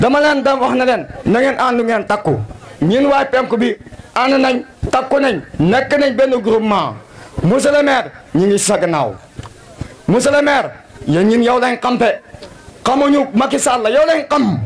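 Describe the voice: A man with extremely high pitch and lively intonation. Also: moderate pace.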